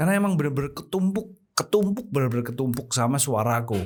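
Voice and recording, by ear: A man is speaking at a fairly quick pace. The intonation he uses is lively.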